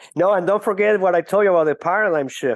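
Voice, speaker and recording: This man speaks with a Venezuelan accent. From Venezuela (Caracas). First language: Spanish. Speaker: business executive. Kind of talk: podcast interview. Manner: hesitant, frequent fillers.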